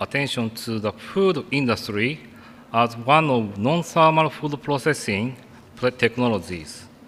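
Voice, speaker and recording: Lively intonation marks this man's medium-pitched voice as he speaks at a very slow pace. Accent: Japanese. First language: Japanese. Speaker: food science researcher. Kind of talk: conference presentation. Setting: conference stage with audience. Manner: halting.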